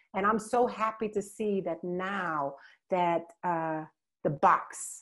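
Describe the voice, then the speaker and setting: With a non-native accent, a woman speaks in an animated tone at medium pitch, her pitch varying in an ordinary way over a quiet background. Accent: foreign. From Suriname and the Netherlands. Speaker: dancer and health advocate. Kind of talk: interview.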